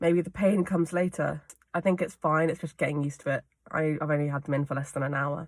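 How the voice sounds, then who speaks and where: Using a put-on character voice, a woman rasps at a very fast pace with a very deep, low pitch. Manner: tentative, getting used to new aligners.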